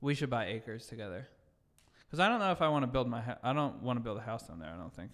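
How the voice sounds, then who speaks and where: The recording is very clean, with a silent background. A man speaks at a very fast pace with lively intonation. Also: medium pitch for a man. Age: 30s. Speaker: podcast guest. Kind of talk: casual chat.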